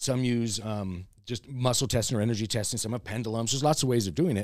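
The recording of this man is very clean, with a silent background. He talks at a very fast pace. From US West Coast (Los Angeles, California). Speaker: crystal shop owner and energy healer. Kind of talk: casual interview chat. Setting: in his crystal shop.

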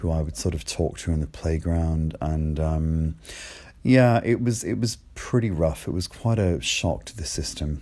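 A man speaks in a very deep, low pitch. His tone is dark and mellow. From Ireland, seaside village. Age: 40s. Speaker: LGBT podcaster. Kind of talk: personal testimony. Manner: hesitant, many fillers.

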